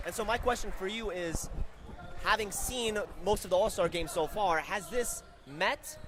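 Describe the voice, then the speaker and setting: The speaker has an animated tone and lively intonation, talking at a moderate pace over noticeable background noise. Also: man, high pitch for a man. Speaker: sports commentator. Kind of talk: live commentary.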